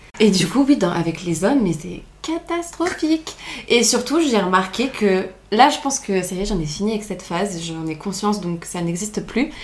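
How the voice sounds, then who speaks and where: Over noticeable background noise, a woman with a medium pitch talks at a moderate pace, her pitch swinging very widely. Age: 20s. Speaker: law student. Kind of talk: casual chat.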